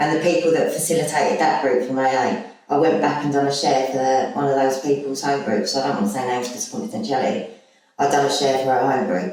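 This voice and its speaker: Speaking at a very fast pace, a woman with a very deep, low voice uses lively intonation in a room with audible echo. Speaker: recovering alcoholic, former rehab resident. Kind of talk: testimony in podcast interview. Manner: loud; animated.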